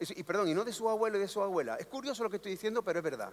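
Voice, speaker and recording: A man speaks with an Andalusian accent. His tone is animated. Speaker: panel speaker at cultural congress. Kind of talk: panel talk. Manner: animated, rhetorical.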